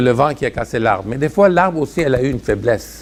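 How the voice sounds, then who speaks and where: At a fairly quick pace, a man uses an unremarkable speaking voice with medium pitch and lively intonation. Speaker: preacher. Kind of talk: sermon.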